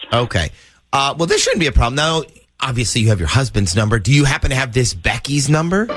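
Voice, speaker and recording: Music plays behind a man talking very fast with lively intonation. His pitch is medium. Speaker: radio show host. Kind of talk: radio prank call banter.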